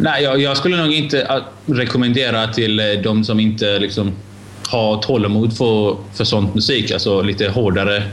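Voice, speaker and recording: Against noticeable background noise and audible room echo, a man talks at a moderate pace with ordinary pitch variation and very even loudness. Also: fairly low pitch for a man. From Iran. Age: 20s. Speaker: podcast guest. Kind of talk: casual chat. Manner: halting.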